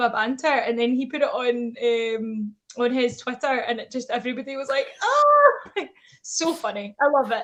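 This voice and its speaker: This woman has a high pitch and a bright, sharp tone, with a strong Scottish accent. She talks at a fairly quick pace with ordinary pitch variation. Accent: thick Scottish. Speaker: wrestling personality. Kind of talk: casual chat.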